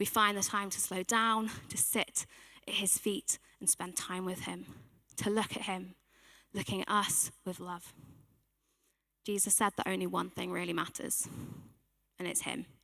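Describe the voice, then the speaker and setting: Soft-spoken, bright and sharp, with vocal fry, fairly even intonation, a moderate pace and long, frequent pauses. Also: woman, medium pitch for a woman. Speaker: church team member giving a sermon. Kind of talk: sermon.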